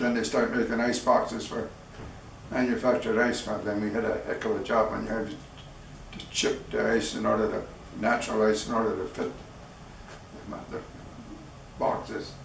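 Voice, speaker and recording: In an American accent, a man talks at a moderate pace with long, frequent pauses and audible room echo. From US Midwest, Wisconsin. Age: 80s+. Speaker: war veteran. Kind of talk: interview.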